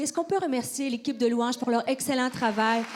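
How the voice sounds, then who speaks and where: Speaking in a Quebec accent, a woman talks at a fairly quick pace with a high pitch and fairly even intonation. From Quebec, Canada. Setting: church.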